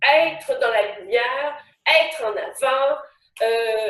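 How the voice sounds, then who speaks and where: A woman's high voice with lively intonation at a very slow pace. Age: 60s. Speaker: actress and motivational speaker. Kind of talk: live webinar talk. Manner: spontaneous, hesitant with many fillers.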